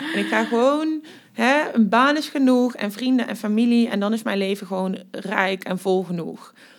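A woman speaks at a fairly high pitch and a moderate pace, with ordinary pitch variation. There is noticeable background noise. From Netherlands, Limburg. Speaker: university diversity and refugee policy coordinator. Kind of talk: casual interview.

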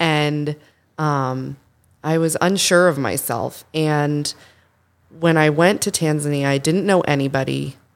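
On a very clean recording with a silent background, a speaker with an American accent keeps a fairly even intonation and leaves long, frequent pauses. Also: woman, very deep, low pitch for a woman, fairly slow pace. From Massachusetts, South Shore near Boston. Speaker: architect and improviser. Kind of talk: casual chat.

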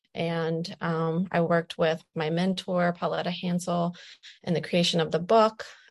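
Speaking with a Midwestern American accent, a woman uses a fairly low pitch and monotone, flat intonation at a fairly slow pace. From Ohio, US (Wood County). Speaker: poet and doula. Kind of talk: interview with poetry readings. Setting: virtual event via video call.

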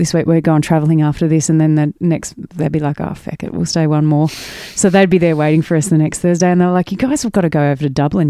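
With an Australian accent, a woman speaks at a very deep, low pitch in a dark, mellow tone and fairly even intonation. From Australia, mid-north coast of New South Wales. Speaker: musician. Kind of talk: casual chat.

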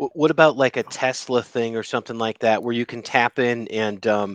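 A man's unremarkable speaking voice, medium in pitch, at a fairly slow pace with fairly even intonation, in a dry, close sound with no echo. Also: quiet background. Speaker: podcast co-host. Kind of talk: casual chat.

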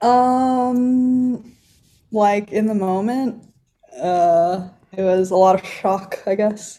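A woman speaks very slowly in a fairly high pitch with ordinary pitch variation. She talks with a Californian accent. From Los Angeles County. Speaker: sponsored skateboarder. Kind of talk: casual interview.

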